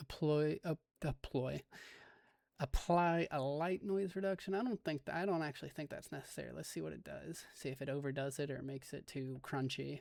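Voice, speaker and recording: Fairly high in pitch, a man talks fairly quickly in a normal speaking voice with ordinary pitch variation. The recording is very clean, dry and close, with no echo and a silent background. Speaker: amateur astrophotographer, video host. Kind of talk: casual screen-recorded tutorial. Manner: thinking aloud, self-talking.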